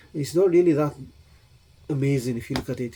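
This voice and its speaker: A fairly quick pace in a Gujarati accent. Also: man. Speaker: Islamic scholar. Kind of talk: casual interview Q&A. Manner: halting.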